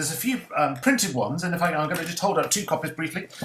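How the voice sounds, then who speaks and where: Talking at a very fast pace, a man sounds somewhat breathy, with ordinary pitch variation. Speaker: director of a church music organisation. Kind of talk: panel discussion. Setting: video call.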